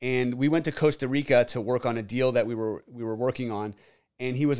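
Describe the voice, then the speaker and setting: An unremarkable speaking voice from a man at medium pitch, fairly quick in pace, in a very clean recording with a silent background. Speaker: podcast host and real estate agent. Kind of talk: interview conversation.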